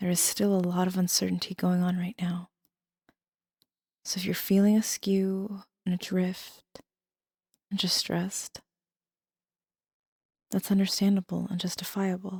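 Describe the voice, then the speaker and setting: Soft-spoken and somewhat breathy, a woman speaks in a calm, dark, mellow tone with monotone, flat intonation at a moderate pace, using long, frequent pauses, in a dry, close sound with no echo. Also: medium pitch for a woman. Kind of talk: soft-spoken ASMR tarot reading. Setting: studio, no music. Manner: soft-spoken, calm.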